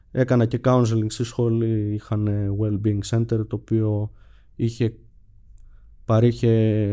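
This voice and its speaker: Here a man talks at a fairly slow pace in a dark, mellow tone. His intonation is monotone and flat. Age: 20s. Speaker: podcast guest sharing therapy story. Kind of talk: personal testimony in interview. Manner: hesitant, many fillers.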